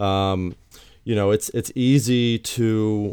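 On a very clean recording with a silent background, a man speaks at a medium pitch in an unremarkable speaking voice. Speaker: therapist and podcast host. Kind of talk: casual interview.

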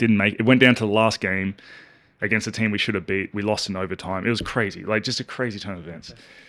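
An Australian-accented man speaks at a very fast pace and fairly low pitch, his tone bright and sharp. His intonation stays fairly even while his loudness swings widely, on a very clean recording with a silent background. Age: 30s. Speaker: professional basketball player. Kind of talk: casual chat.

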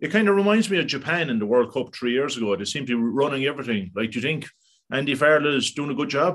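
A man with an Irish accent at a very fast pace. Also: fairly high pitch for a man, lively intonation. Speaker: podcast host. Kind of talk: casual interview.

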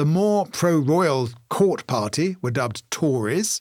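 A man speaks with a British accent in a fairly high pitch. His pitch swings very widely. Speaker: podcast co-host. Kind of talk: casual comedic banter with reading. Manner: fast talker.

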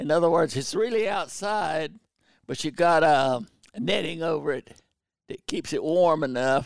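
Speaking at a moderate pace, a man with a Southern US accent uses lively intonation at a fairly high pitch. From North Carolina, Pembroke area. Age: 90s. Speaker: war veteran and bird hunter. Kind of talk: casual interview. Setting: video call. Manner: halting.

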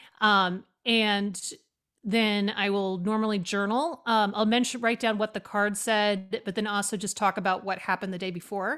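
A woman with an American accent speaks in a plain, everyday voice at a medium pitch and moderate pace. Her intonation is fairly even, and the recording is very clean, with a silent background. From US West Coast, Oregon. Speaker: author and priestess. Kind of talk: casual chat.

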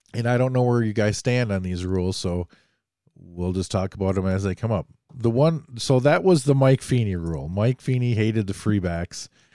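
A man with an American accent, a fairly low pitch, a dark, mellow tone, lively intonation and a moderate pace. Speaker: podcast host. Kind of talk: casual interview. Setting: video call.

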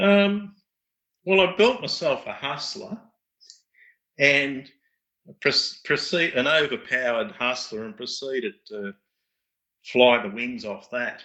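With an Australian accent, a man speaks at a fairly slow pace with long, frequent pauses, his fairly high, bright and sharp voice showing very wide pitch swings and big swings in loudness. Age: 50s. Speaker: radio control pattern pilot and parts business owner. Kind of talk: casual interview. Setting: call.

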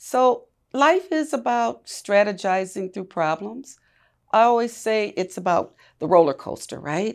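A woman with an American accent and medium pitch speaks at a fairly slow pace with very wide pitch swings, on a very clean recording with a silent background. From US Midwest, Milwaukee. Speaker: community leader and former university administrator. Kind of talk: interview conversation.

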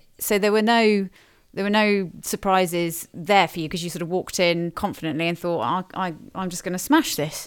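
A woman with an ordinary speaking voice and a medium pitch talks at a fairly quick pace with ordinary pitch variation, in a very clean recording with a silent background. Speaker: podcast host and talent company founder. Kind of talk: casual interview chat.

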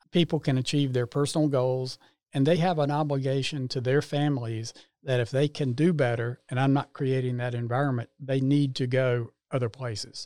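In a North Carolina accent, a man speaks at a medium pitch and moderate pace with a dark, mellow tone and fairly even intonation. The recording is very clean with a silent background, and the sound is dry and close with no echo. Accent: US Southern, North Carolina. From North Carolina, Salisbury. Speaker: home builder. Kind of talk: interview.

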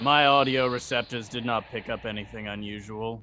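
A man uses a put-on character voice at a medium pitch and moderate pace. Clear background noise runs underneath. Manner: formal, flat.

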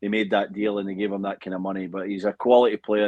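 Fairly quick speech comes from a man. His delivery is monotone, with flat intonation. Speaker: former footballer and TV analyst.

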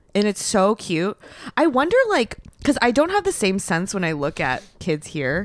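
An animated tone with very wide pitch swings at a moderate pace. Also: woman, medium pitch for a woman. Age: 30s. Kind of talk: casual chat.

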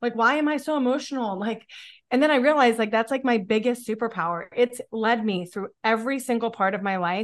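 Against a quiet background, a woman with an American accent has a normal speaking voice. She speaks at a fairly quick pace with a fairly high pitch and ordinary pitch variation. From Pennsylvania, near Pittsburgh. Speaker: author and podcaster, mother. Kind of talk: interview conversation.

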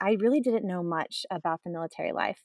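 A woman with an ordinary speaking voice and an American accent talks at a fairly quick pace with lively intonation and medium pitch, in a dry, close sound with no echo. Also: very clean recording, silent background. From Texas. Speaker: military spouse. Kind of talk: interview conversation.

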